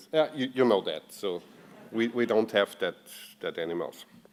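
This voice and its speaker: A man with an Austrian accent speaks at a medium pitch and a moderate pace over noticeable background noise. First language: German. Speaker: software performance engineer. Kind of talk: conference talk. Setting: stage with audience. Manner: halting, many fillers.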